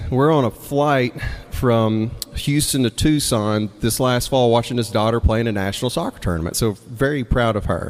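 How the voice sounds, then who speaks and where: A man speaks at a medium pitch and a moderate pace with an American accent, his pitch varying in an ordinary way. Noticeable background noise sits behind him. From Mississippi, US South. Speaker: storyteller and songwriter. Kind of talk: live storytelling. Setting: stage with audience. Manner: casual, conversational with hesitations.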